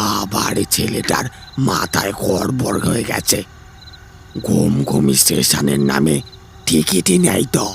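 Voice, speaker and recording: Putting on a raspy character voice with a very deep, low pitch, a man speaks at a fairly slow pace over clear background noise. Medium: audio drama. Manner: gentle, fatherly, calls listener 'beta'.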